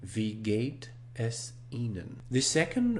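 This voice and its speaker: Amid audible room echo, a man with a non-native accent speaks at a very slow pace in a somewhat breathy voice. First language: not German. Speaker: online German course host. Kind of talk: tutorial. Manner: slow, deliberate with repeated phrases.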